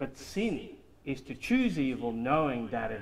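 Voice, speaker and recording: A man talks with light background noise present. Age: 50s. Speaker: study group member. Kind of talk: group discussion. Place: meeting room. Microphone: camera far.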